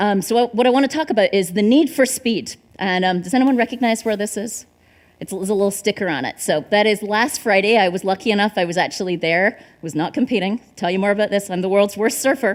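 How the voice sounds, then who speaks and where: A woman's medium-pitched voice races along very fast, its pitch varying in an ordinary way. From Scotland, Dumfries (southwest). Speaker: marketing executive, conference speaker. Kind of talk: conference talk. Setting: stage with audience.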